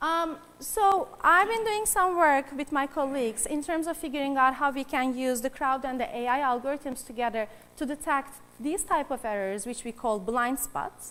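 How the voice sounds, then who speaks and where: A woman's high voice, with a bright, sharp tone, swings very widely in pitch at a moderate pace. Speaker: AI researcher. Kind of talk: conference talk. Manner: hesitant with fillers.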